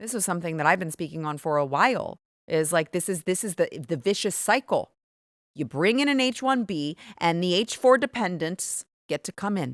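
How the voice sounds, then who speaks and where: A woman speaks in an animated tone at a medium pitch, her voice swinging very widely and moving at a fairly quick pace. The recording is very clean, with a silent background. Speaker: political commentator. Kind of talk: opinion monologue. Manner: speaking quietly.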